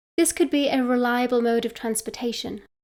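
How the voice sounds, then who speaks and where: The recording is very clean, with a silent background, as a woman speaks with a British accent at a moderate pace. Her pitch is fairly high and her intonation fairly even. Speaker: midlife coach. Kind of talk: guided meditation. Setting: outdoors.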